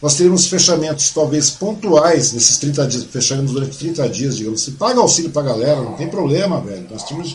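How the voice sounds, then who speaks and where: A man talks very fast at a fairly high pitch with lively intonation. Audible room echo and noticeable background noise fill the recording. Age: 50s. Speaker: podcast host. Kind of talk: casual interview.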